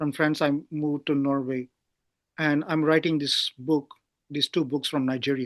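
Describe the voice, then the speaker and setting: A man speaks at a moderate pace in a fairly high pitch, with monotone, flat intonation. His loudness stays very even, and the sound is dry and close with no echo. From Pondicherry, South India. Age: 60s. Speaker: writer. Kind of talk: interview. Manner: halting, stammering.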